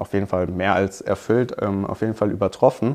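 Here a man speaks in an unremarkable speaking voice at a fairly low pitch. His pace is moderate and his intonation fairly even. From Hockenheim, Baden-Württemberg, Germany. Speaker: business student. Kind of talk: casual interview.

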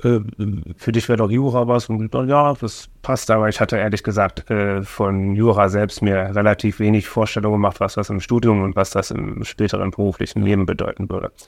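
The delivery moves at a fairly quick pace in a plain, everyday voice. Intonation stays fairly even. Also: man, fairly low pitch for a man. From Germany, Oranienburg (Brandenburg). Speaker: city finance official and deputy mayor. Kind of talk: casual interview.

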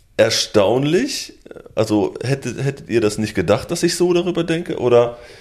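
A man speaks at a moderate pace with a fairly high pitch and lively intonation. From Lübbecke, East Westphalia, Germany. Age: 20s. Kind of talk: casual chat. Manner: hesitant with fillers.

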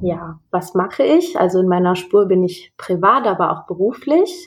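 A woman talks at a fairly slow pace. She has an ordinary speaking voice. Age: 20s. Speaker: counselor. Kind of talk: interview.

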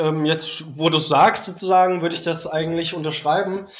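A man with fairly even intonation over noticeable background noise. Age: 30s. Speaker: teacher. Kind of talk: casual chat. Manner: hesitant, many filler sounds.

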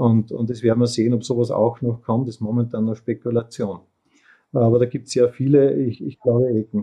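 At a fairly quick pace, a man with an unremarkable speaking voice talks with fairly even intonation. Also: medium pitch for a man. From Upper Austria. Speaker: industrial company CEO. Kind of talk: interview.

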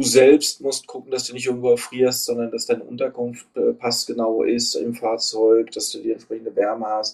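Pitch stays medium for this man. He talks at a moderate pace. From Hesse, Germany (Frankfurt area). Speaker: outdoor tour guide. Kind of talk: casual interview. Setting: remote call from Thailand.

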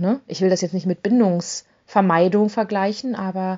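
A woman at a medium pitch talks at a moderate pace, her pitch shifting in an ordinary way. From rural Germany. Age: 40s. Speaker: podcast host, single-mom dating coach. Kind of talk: casual monologue. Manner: filler-heavy, informal.

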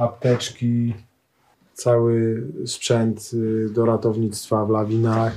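A man's medium-pitched voice in a monotone, flat delivery. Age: 40s. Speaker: mountain rescuer. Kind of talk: interview. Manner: halting, with many repeated words.

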